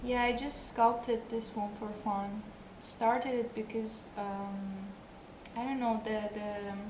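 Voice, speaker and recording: A woman with a non-native accent speaks at a very slow pace and fairly high pitch, her intonation monotone and flat. Noticeable background noise is present. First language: not English. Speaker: sculptor and live streamer; live streamer. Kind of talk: casual live stream chat with viewers. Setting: live stream. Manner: halting, hesitant. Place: home room. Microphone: headset.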